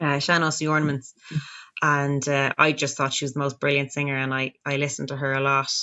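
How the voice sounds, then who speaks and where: In a Dublin accent, a woman speaks at a fairly quick pace. Her voice is very deep and low, with monotone, flat intonation. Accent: Dublin Irish. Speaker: folk singer. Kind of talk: casual chat.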